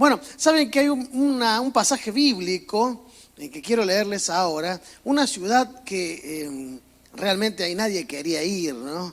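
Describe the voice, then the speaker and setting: With a strong Córdoba Argentine accent, a man speaks at a fairly slow pace and a high pitch, his voice making very wide pitch swings and big swings in loudness over noticeable background noise. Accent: strong Cordoba Argentine. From Argentina, Córdoba. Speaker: pastor. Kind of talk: sermon. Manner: casual, humorous preaching.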